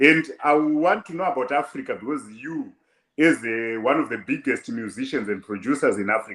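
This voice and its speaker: A man with a Zimbabwean accent talks at a moderate pace, his fairly high pitch carried by lively intonation. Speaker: online show host. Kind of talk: interview.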